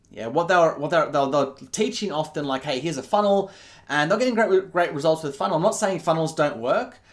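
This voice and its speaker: A man speaks with an Australian accent at a fairly quick pace. His pitch is fairly high and his intonation lively. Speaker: business coach. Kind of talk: online marketing pitch. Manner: halting, many fillers and restarts.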